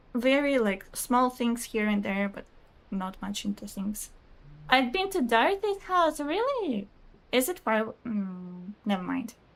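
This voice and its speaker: This woman speaks in a Russian accent at a fairly high pitch. Her voice makes very wide pitch swings. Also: fairly slow pace. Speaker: video game streamer. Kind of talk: casual live-stream chat reading viewer comments. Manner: chatty, hesitant with fillers.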